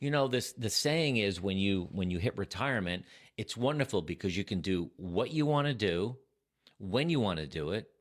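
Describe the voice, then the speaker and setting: The recording is very clean, with a silent background. A man speaks at a moderate pace with a fairly low pitch that swings very widely. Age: 60s. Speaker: retiree vlogger. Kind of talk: personal talk to camera.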